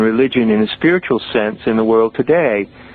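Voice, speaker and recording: Medium-pitched male speech at a moderate pace amid noticeable background noise. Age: 60s. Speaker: author and mystical teacher. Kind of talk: podcast interview.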